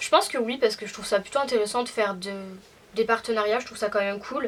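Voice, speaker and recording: With ordinary pitch variation, a woman talks at a very fast pace in a fairly high pitch. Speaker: youtuber. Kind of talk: casual chat, Q&A. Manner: hesitant, lots of fillers.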